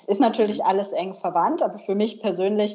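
This woman has a normal speaking voice, with medium pitch and a moderate pace. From northern Germany. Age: 30s. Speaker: personal finance blogger. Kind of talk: interview.

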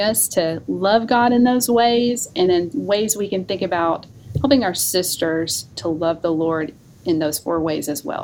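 The speaker has a Southern US accent and lively intonation, moving at a moderate pace. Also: woman. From North Alabama. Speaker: seminary professor of women's ministry. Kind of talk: casual interview.

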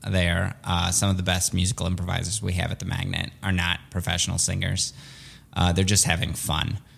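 A man talks with a Midwestern accent at a fairly quick pace. His pitch is very deep and low. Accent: American Midwest. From Chicago area (Skokie), born in Soviet Russia. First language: Russian. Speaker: improv comedian. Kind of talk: casual interview.

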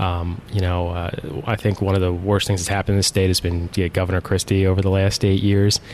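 Over noticeable background noise, a man with a very deep, low pitch talks at a very fast pace in monotone, flat intonation. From South Jersey (Mays Landing, near Atlantic City). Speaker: state senator. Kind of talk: interview. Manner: halting, many fillers.

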